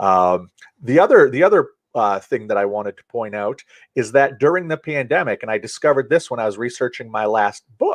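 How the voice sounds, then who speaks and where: With a dry, close sound and no echo, a man in an ordinary speaking voice talks at a fairly quick pace and medium pitch, with lively intonation. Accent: American. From Central Maine, USA. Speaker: author and public speaker. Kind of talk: podcast interview answer.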